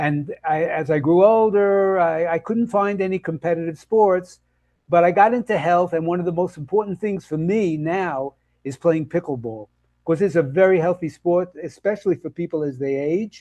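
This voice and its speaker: Man in a Brooklyn accent, high-pitched yet dark and mellow in tone, moderate pace and ordinary pitch variation, dry and close with no echo against a quiet background. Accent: New York (Brooklyn). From Brooklyn, New York. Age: 80s+. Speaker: health and nutrition coach. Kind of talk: interview conversation. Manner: halting, many fillers and restarts.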